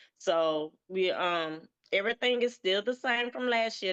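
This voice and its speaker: With a Southern US accent, a woman of medium pitch talks at a moderate pace with ordinary pitch variation, in a dry, close sound with no echo over a quiet background. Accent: Southern twang. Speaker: event promoter. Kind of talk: casual chat. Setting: livestream.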